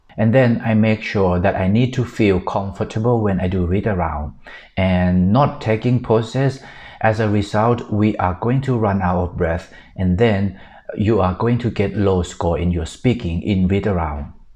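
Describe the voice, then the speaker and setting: A dark, mellow tone in a Thai accent, at a moderate pace with ordinary pitch variation. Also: man, fairly low pitch for a man. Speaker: exam prep tutor. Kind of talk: tutorial.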